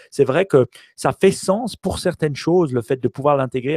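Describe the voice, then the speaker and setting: Delivered at a moderate pace, the voice has a dark, mellow tone on a very clean recording with a silent background. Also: man, dry, close sound with no echo. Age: 40s. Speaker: tech podcast co-host. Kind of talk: casual chat.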